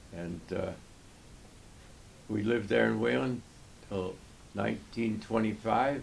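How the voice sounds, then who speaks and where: With an American accent, a man with a fairly low voice and vocal fry talks fairly slowly, his lively intonation broken by long, frequent pauses. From United States, New York. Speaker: war veteran. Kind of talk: interview answer, personal autobiography.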